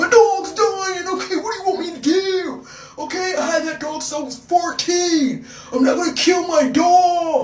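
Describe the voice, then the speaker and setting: In a put-on character voice pitched extremely high, a woman speaks at a moderate pace with an audible echo. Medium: solo performance. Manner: defensive.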